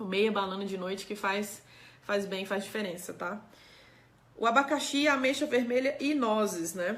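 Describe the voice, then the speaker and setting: With audible room echo, the voice moves at a moderate pace with ordinary pitch variation and long, frequent pauses. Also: woman, medium pitch for a woman. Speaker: doctor giving health talk. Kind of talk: live stream talk answering chat.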